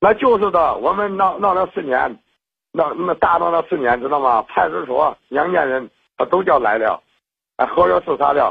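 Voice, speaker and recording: Lively intonation and a moderate pace mark a man's high-pitched speech. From Henan, China. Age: 50s. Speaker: caller. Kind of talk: phone-in call about marriage trouble. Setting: phone call. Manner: halting, many fillers.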